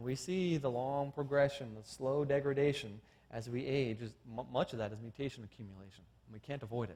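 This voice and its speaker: A man talks at a fairly quick pace with big swings in loudness and ordinary pitch variation. His tone is dark, mellow and somewhat breathy. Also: medium pitch for a man. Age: 40s. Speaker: creationist science lecturer. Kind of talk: seminar lecture.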